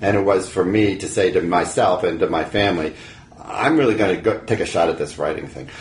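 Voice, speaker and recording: Fairly low in pitch, a man speaks at a fairly quick pace with ordinary pitch variation. Noticeable background noise accompanies him. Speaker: author and writing teacher. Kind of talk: casual interview.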